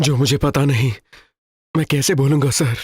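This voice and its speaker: A man speaks in a put-on character voice. His voice is raspy. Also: fairly high pitch for a man, moderate pace, fairly even intonation. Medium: fan dub. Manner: subdued, restrained.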